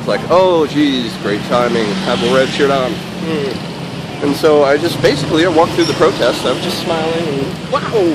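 A man at a fairly high pitch and moderate pace, ordinary pitch variation, with noticeable background noise. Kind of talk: casual vlog. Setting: outdoors walking. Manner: casual, jokey.

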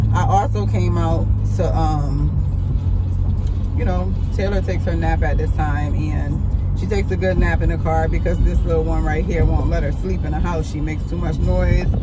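Background music plays throughout. Over it, a woman talks at a moderate speed. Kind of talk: casual vlog chat. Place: car. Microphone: phone near.

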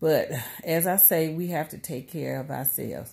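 Against a quiet background, a woman talks in a dark, mellow tone with ordinary pitch variation. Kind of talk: casual vlog chat. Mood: earnest, reflective. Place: home room. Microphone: phone near.

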